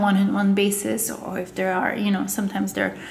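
Over noticeable background noise and audible room echo, a woman talks at a moderate pace in a medium pitch. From Russia/Bulgaria, raised in Montreal from age ten. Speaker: agency owner. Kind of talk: interview.

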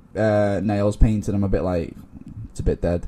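Here a man talks with a fairly low pitch and a dark, mellow tone. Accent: Liverpool. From Liverpool. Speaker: guest. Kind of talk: casual chat.

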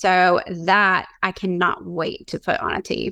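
In a Southern US accent, a woman speaks at a medium pitch with a bright, sharp tone, vocal fry and ordinary pitch variation, captured in a very clean recording with a silent background. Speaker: small business owner. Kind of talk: interview.

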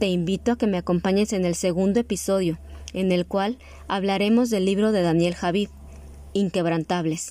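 The voice carries a dark, mellow tone at a moderate pace. Intonation stays fairly even and loudness very even. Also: woman, medium pitch for a woman. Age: 30s. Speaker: teacher and podcast host. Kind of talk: scripted narration.

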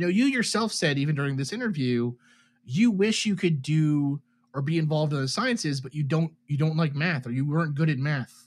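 A man's fairly high, somewhat breathy voice with lively intonation at a fairly quick pace, on a very clean recording with a silent background. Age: 30s. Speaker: chemical engineer and UFO research project member. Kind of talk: interview.

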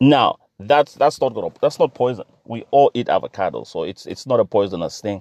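A man speaks at a moderate pace in an animated tone, with hardly any pauses and big swings in loudness, in a dry, close sound with no echo. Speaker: podcast host. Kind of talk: solo commentary monologue. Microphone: sound not as good as he'd like.

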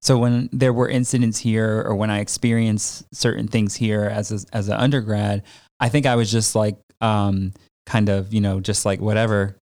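Monotone, flat intonation with an American accent, on a very clean recording with a silent background. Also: man, fairly low pitch for a man, moderate pace. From Connecticut suburbs. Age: 30s. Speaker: podcast host, academic. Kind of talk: casual interview. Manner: casual, lots of fillers.

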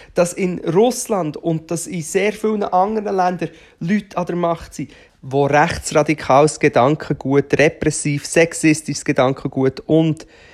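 The pace of the speech is fairly slow. The recording is very clean, with a silent background. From Switzerland, Aargau. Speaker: podcaster and performer. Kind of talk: solo monologue. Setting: at home on the sofa. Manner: loud.

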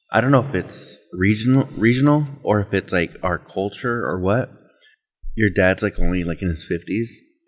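A man with an ordinary speaking voice, fairly low in pitch, with lively intonation at a moderate pace. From Mexican-American, US Southwest. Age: 30s. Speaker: podcast host. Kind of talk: casual chat. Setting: on location.

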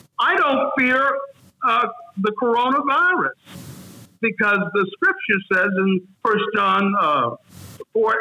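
At a very slow pace, a man with an extremely high pitch speaks in very wide pitch swings. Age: 60s. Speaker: retired minister and motivational speaker. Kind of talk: interview.

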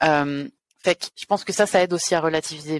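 Very deep and low in pitch, a woman speaks at a very fast pace. The recording is very clean with a silent background, and the sound is dry and close with no echo. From France. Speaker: video game producer. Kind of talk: interview.

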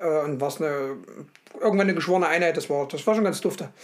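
With noticeable background noise around him, a man speaks at a high pitch with ordinary pitch variation. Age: 30s. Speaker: podcast co-host. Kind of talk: casual chat.

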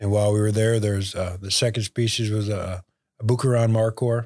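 A man speaks in a fairly low pitch with monotone, flat intonation on a very clean recording with a silent background. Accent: American. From Michigan, near Bay City. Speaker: retired mortgage company CEO and hunter. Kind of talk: casual interview chat.

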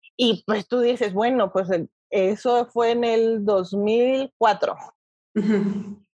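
The tone is dark and mellow, with very even loudness. Delivery is very slow, with fairly even intonation. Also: woman, fairly high pitch for a woman. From Mexico, Toluca. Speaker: nutritionist. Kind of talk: interview.

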